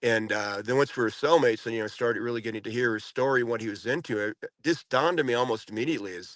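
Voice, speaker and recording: A man with an ordinary speaking voice talks at a fairly quick pace in a medium pitch with ordinary pitch variation, recorded with a dry, close sound, no echo and a quiet background. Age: 60s. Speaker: former prisoner. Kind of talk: interview. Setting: podcast.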